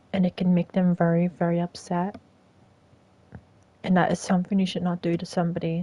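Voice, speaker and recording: In a non-native accent, a woman speaks at a moderate pace with a fairly low pitch and a dark, mellow, somewhat breathy tone. The sound is dry and close, with no echo. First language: not English. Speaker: streamer. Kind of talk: live stream monologue.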